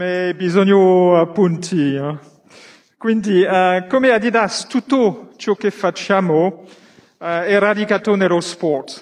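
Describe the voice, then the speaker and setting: A man with a non-native accent talks very slowly in a high pitch, with ordinary pitch variation. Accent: non-native Italian. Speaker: company executive. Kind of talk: prepared speech from notes. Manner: halting, many fillers. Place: stadium. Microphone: handheld.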